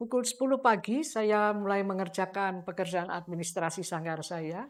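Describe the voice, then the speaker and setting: Captured in a very clean recording with a silent background, a woman uses an ordinary speaking voice at a medium pitch and moderate pace, with ordinary pitch variation. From Indonesia, Solo (Central Java). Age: 60s. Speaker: music teacher and songwriter. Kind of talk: interview. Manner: formal.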